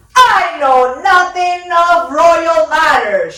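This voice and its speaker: Using a put-on character voice, a woman speaks very slowly at an extremely high pitch with lively intonation. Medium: read story. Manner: curt, grumbling.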